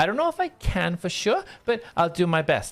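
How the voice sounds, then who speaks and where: A man puts on a character voice with very wide pitch swings at a moderate pace. The recording is very clean with a silent background. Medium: actual play. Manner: warm, hesitant.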